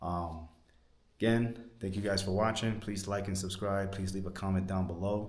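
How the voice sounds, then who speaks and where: In a New York accent, a man speaks with a very deep, low pitch and flat, monotone intonation. Audible room echo surrounds him. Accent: New York American. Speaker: travel vlogger. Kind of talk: travel vlog walkthrough. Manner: fast.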